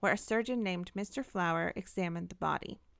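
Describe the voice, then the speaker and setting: An ordinary speaking voice from a woman, medium in pitch, at a fairly quick pace, with ordinary pitch variation and a very clean recording with a silent background. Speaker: podcast co-host. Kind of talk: ghost story telling, narrated true-crime style.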